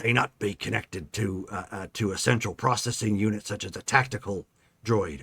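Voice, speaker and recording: In a put-on character voice, a man speaks at a moderate pace. His raspy voice sits at a fairly low pitch. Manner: muttering under the breath.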